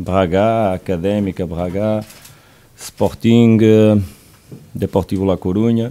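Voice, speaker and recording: At a very slow pace with long, frequent pauses, a man speaks in a fairly low pitch with a dark, mellow tone and fairly even intonation. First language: Portuguese (speaking French). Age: 40s. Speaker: football coach. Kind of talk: press conference. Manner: halting.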